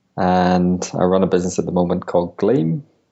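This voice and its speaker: This man's voice sits very deep and low. His delivery moves at a moderate pace. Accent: European. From Europe. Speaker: business founder. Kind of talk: interview. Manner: hesitant, many fillers.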